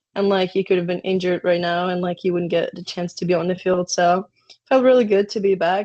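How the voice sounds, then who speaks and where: Speaking at a fairly quick pace, a woman with a Ukrainian accent has a medium pitch and fairly even intonation. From Ukraine. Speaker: college soccer player. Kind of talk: interview.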